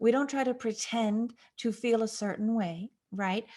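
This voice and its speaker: Somewhat breathy and fairly high, a woman's dark, mellow voice moves at a fairly slow pace. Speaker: astrology radio host. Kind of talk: solo radio talk on astrology. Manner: animated.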